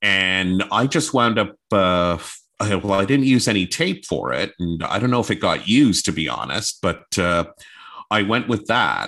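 With a Canadian accent, a man speaks at a moderate pace in a fairly low, bright, sharp voice with vocal fry and lively intonation. The background is quiet. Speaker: former radio news reporter and anchor. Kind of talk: interview conversation.

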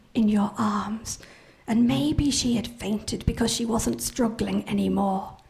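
Over noticeable background noise, a woman speaks in a dramatic tone at a fairly high pitch with ordinary pitch variation. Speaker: professional storyteller. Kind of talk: live oral telling of a chilling traditional folktale, ghost-story style. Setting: stage with live audience. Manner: slow, suspenseful build with hushed, repeated phrases; vivid, dramatic delivery voicing characters' dialogue.

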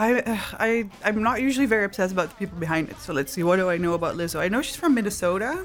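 A woman with a Dutch accent, medium pitch and lively intonation, at a very fast pace with hardly any pauses, over noticeable background noise. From southern Netherlands (Maastricht). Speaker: tattoo artist and illustrator. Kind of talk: casual interview. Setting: studio.

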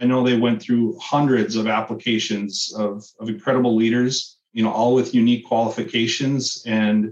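In an Upper Midwest accent, a man speaks at a moderate pace. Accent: Upper Midwest (Minnesota). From northern Minnesota (Cloquet, Duluth). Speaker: state education official. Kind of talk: interview. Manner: halting, with frequent repetitions.

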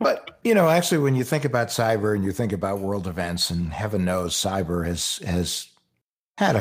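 In an unremarkable speaking voice, a man with an American accent talks at a fairly low pitch and moderate pace with ordinary pitch variation, on a very clean recording with a silent background. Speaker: author and former consumer affairs official. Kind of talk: casual interview conversation.

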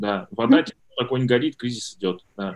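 A man's voice sits at a medium pitch. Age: 30s. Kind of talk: casual interview. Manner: hesitant, many filler sounds.

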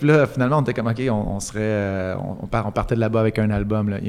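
In a very clean recording with a silent background, a man with a Quebec accent talks at a fairly quick pace. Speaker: musician. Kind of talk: casual interview chat.

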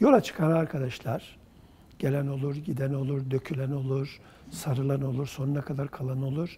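Somewhat breathy, a man speaks at a moderate pace. His pitch is fairly high and his tone is dark and mellow. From Central Anatolia, Turkey (rural Kırşehir). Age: 70s. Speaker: writer and literary publisher. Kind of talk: oral history interview.

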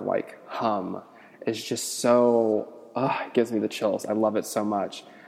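Fairly even intonation marks a man with an American accent, heard over noticeable background noise. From US Midwest, Cincinnati. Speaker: podcaster. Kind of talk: casual monologue.

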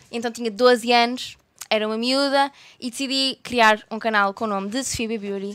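A woman with a slight Porto accent speaks at a moderate pace in a fairly high voice, her pitch varying in an ordinary way. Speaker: YouTuber. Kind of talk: casual chat.

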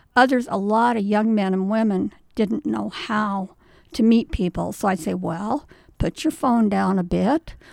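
An unremarkable speaking voice from a woman, fairly slow in pace with ordinary pitch variation, on a very clean recording with a silent background. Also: medium pitch for a woman. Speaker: retired woman at advice booth. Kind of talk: casual interview chat.

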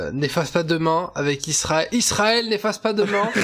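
Noticeable background noise runs under a man's voice. He talks at a fairly slow pace with lively intonation. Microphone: wrong or poor microphone.

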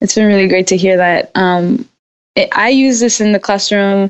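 A woman talks with an American accent. Her pitch is medium, with ordinary variation. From South Los Angeles, California. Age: 30s. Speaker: author and kindergarten teacher. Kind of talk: interview conversation.

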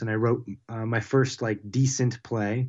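A man speaks with an American accent at a moderate pace. His intonation is monotone and flat. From Pittsburgh, Pennsylvania. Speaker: playwright. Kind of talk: interview. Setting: remote call via computer. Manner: halting, many fillers.

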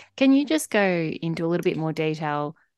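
The speaker has an Australian accent and a moderate pace. The background is quiet. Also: woman. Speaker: podcast host. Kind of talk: interview.

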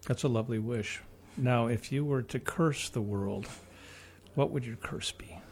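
A man in a Midwestern American accent, medium pitch, somewhat breathy, with ordinary pitch variation, a moderate pace and long, frequent pauses. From US Midwest. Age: 60s. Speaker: radio host. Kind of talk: casual chat. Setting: studio.

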